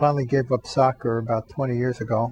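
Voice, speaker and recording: A man with an American accent, medium pitch, a somewhat breathy voice and a moderate pace. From US Northeast, Long Island. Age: 70s. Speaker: retired athlete and professor. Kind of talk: interview testimony. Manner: halting.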